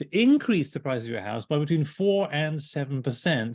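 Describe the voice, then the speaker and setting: A man with a British accent, fairly high in pitch, with lively intonation and a quiet background. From Britain. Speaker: home energy speaker, author. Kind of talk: webinar presentation.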